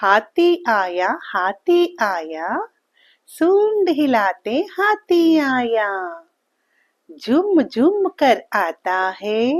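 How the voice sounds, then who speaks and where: Very wide pitch swings and long, frequent pauses mark this speech over a quiet background. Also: woman, fairly high pitch for a woman. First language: Telugu (speaking Hindi). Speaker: children's poem reciter. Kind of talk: reading aloud.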